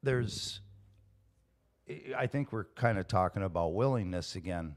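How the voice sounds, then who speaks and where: Lively intonation at a moderate pace, in a very clean recording with a silent background. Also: man, fairly low pitch for a man. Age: 50s. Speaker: recovering alcoholic, house painter. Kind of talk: casual interview about recovery. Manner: halting, many repeated words.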